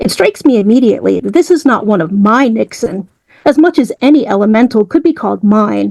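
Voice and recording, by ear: The text is read aloud in a natural voice. Behind it, the background stays quiet.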